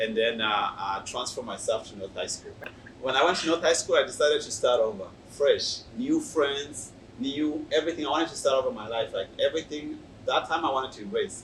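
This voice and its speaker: A man's loudness swings widely as he talks at a fairly quick pace, with noticeable background noise present. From Burundi. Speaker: youth pastor. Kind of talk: testimony. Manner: halting.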